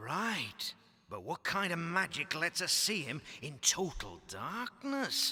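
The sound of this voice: Putting on a cartoonish character voice, a man speaks in a high pitch at a fairly slow pace.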